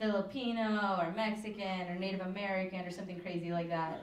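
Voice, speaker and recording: A woman speaks with audible room echo. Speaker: stand-up comedian. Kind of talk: stand-up comedy routine. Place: stage.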